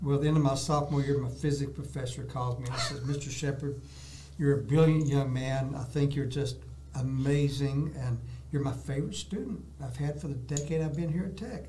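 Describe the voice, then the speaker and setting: Speaking quickly and at a fairly high pitch, a man with a Texan accent keeps his intonation fairly even, with audible room echo and noticeable background noise. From Texas, Dallas. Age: 70s. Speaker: artist, retired salesman. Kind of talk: interview, casual chat. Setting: studio.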